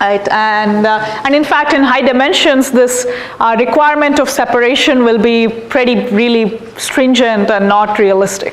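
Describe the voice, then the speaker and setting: A woman with a fairly high pitch speaks at a fairly slow pace with fairly even intonation. Audible room echo and noticeable background noise are present. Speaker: professor. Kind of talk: lecture. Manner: halting.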